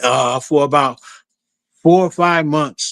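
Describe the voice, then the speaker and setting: A man speaks in a flat monotone at a moderate pace. The recording is very clean, with a silent background. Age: 60s. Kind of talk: testimony.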